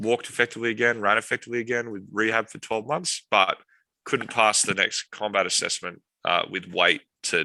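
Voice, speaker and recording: A man speaks at a fairly quick pace in a fairly low voice with a bright, sharp tone. His intonation stays fairly even, and the sound is dry and close with no echo over a quiet background. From Australia. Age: 30s. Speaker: military veteran and tech company founder. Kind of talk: interview testimony.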